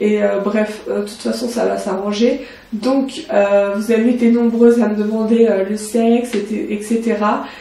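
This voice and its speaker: Her voice is fairly high for a woman, with fairly even intonation at a fairly slow pace. The recording has audible room echo and noticeable background noise. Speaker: beauty vlogger. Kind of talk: casual vlog. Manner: hesitant.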